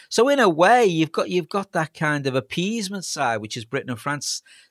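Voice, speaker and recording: In a very clean recording with a silent background, a man with a Liverpool accent speaks at a fairly quick pace with very wide pitch swings, the sound dry and close with no echo. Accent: Scouse (Liverpool). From Liverpool, England. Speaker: historian professor. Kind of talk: casual chat.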